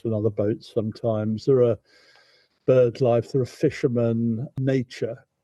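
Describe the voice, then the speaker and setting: With a southern English accent, a man at medium pitch speaks fairly slowly in a dark, mellow tone with fairly even intonation, the sound dry and close with no echo. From southern England, Thames near Windsor. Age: 70s. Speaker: barge travel company founder. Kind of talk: interview. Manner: halting, repeats words.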